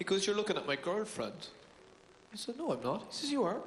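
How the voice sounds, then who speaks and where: A man with a Cork accent and a high pitch. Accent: Cork Irish. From Ireland, Cork City. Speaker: stand-up comedian. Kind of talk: stand-up.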